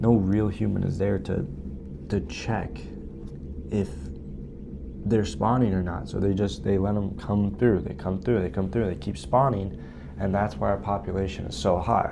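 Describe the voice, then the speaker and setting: A man with fairly low pitch and ordinary pitch variation speaks at a moderate pace with long, frequent pauses, amid audible room echo and noticeable background noise. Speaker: podcast host. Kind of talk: casual podcast monologue. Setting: library study room. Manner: keeping voice down.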